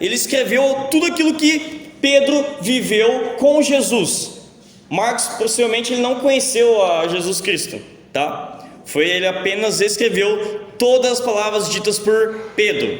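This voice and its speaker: With an extremely high pitch and lively intonation, a man speaks at a fairly slow pace amid audible room echo and noticeable background noise. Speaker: pastor. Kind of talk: sermon. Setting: church.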